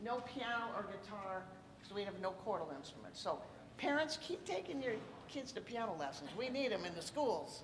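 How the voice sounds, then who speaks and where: Over noticeable background noise, a loud voice moves at a moderate pace with very wide pitch swings and audible room echo. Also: woman. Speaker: jazz educator running a band clinic. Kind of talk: band clinic instruction. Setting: live event with student band and audience, no mic. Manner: animated.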